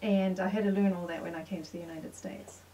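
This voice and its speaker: A woman's medium-pitched voice at a fairly quick pace, with noticeable background noise. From South Africa, Pretoria. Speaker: interviewee. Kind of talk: interview. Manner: halting, many fillers.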